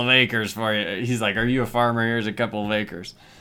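A man with a plain, everyday voice talks at a medium pitch with fairly even intonation in a very clean recording with a silent background. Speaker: podcast host, film reviewer. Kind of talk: casual solo monologue, movie review. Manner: informal, lots of fillers.

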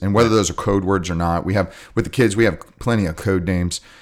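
In a plain, everyday voice, a man with a fairly low pitch and ordinary pitch variation is heard in a very clean recording with a silent background. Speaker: jiu-jitsu coach. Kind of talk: casual chat.

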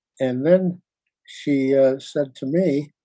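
A man's dark, mellow voice with an American accent. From upstate New York. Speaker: retired museum registrar and historian. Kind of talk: interview. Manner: halting, many restarts.

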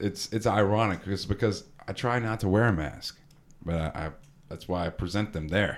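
A man with an ordinary speaking voice and an American accent, at a moderate pace with lively intonation, on a very clean recording with a silent background. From Texas. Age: 20s. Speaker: podcast host. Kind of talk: casual chat. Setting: studio.

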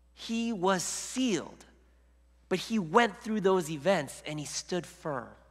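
Speaking very slowly, a man with a high voice uses lively intonation, and audible echo fills the room. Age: 40s. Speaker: lay preacher. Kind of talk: sermon. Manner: halting.

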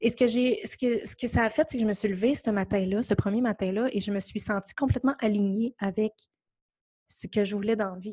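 With a Quebec accent and a dark, mellow tone, a somewhat breathy woman speaks with fairly even intonation on a very clean recording with a silent background and a dry, close sound with no echo. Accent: Québécois French. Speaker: podcast host. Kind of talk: casual monologue. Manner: gentle, hesitant with fillers.

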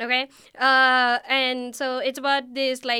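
A woman speaks in a high, bright, sharp voice, raised and projected, on a very clean recording with a silent background. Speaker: graduate student. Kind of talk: casual chat. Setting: studio.

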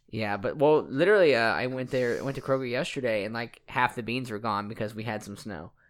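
With a normal speaking voice, a man talks fairly quickly at a medium pitch and with ordinary pitch variation. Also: very clean recording, silent background. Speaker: podcast host and personal trainer. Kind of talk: casual chat.

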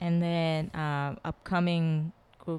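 A woman with a Korean accent speaks at a very slow pace. Her pitch is fairly low and her intonation fairly even. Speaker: sculptor and installation artist.

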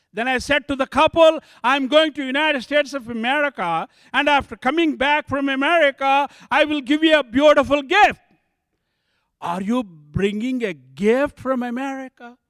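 An extremely high-pitched man's voice with an Indian accent and ordinary pitch variation, on a very clean recording with a silent background. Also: moderate pace. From southern India. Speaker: bishop, church planter. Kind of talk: testimony. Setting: church.

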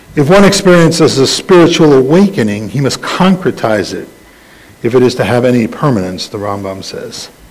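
Speaking fairly quickly with an American accent and very wide pitch swings, the voice comes through audible room echo and noticeable background noise. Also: man, medium pitch for a man. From US Northeast (the Bronx, New York City). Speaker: rabbi. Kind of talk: sermon. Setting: congregation with slides. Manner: halting.

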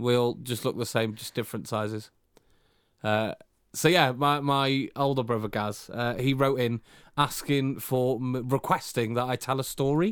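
In a very clean recording with a silent background, a man with an unremarkable speaking voice talks at a moderate pace, medium pitch and fairly even intonation. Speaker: podcast host. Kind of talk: casual chat between spouses.

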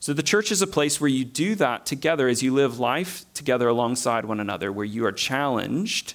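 With a Southern US accent, a man speaks at a moderate pace in a fairly high pitch. His intonation is lively. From US South. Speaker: preacher. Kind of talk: sermon.

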